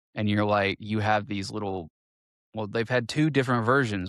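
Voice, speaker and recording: A man's fairly low voice in fairly even intonation, dry and close with no echo, on a very clean recording with a silent background. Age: 40s. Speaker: podcast co-host. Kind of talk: casual chat. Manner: halting, many false starts.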